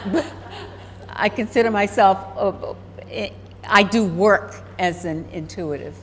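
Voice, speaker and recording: Long, frequent pauses break up a woman's lively intonation. Noticeable background noise can be heard. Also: medium pitch for a woman. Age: 80s+. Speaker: professional intuitive, retired university vice president. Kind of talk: casual interview.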